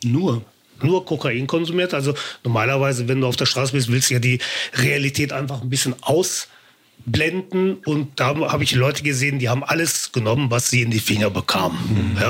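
A man with an unremarkable speaking voice talks at a moderate pace and medium pitch, with ordinary pitch variation and very even loudness. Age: 50s. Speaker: formerly homeless man turned on-camera personality. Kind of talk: casual interview.

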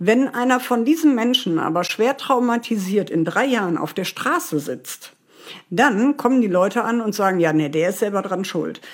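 A woman's fairly high voice moves through very wide pitch swings at a moderate pace. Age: 40s. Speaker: former homeless person. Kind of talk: interview testimony. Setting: remote call from home.

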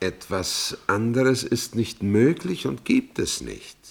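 Putting on a character voice, a man talks slowly at a medium pitch, with vocal fry and big pitch swings.

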